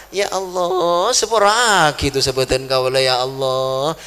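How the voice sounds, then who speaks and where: Over noticeable background noise, a man talks at a moderate pace and a fairly high pitch with lively intonation. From West Kalimantan, Indonesia (Madurese family). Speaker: Islamic preacher. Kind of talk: sermon.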